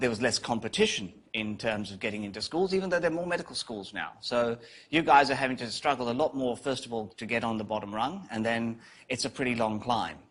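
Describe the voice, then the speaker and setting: A man with a British accent talks at a very fast pace, his intonation lively. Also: medium pitch for a man. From UK. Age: 50s. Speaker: psychiatry professor. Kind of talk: guest lecture.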